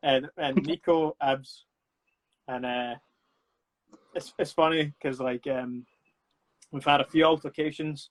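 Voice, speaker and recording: A man in a Scottish accent, fairly high-pitched and monotone, flat in intonation, at a fairly slow pace with long, frequent pauses. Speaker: actor and film producer. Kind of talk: casual chat. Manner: loud.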